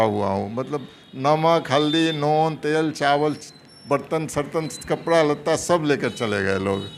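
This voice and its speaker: A man's fairly high-pitched voice comes through amid noticeable background noise. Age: 70s. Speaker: retired government doctor. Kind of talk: interview.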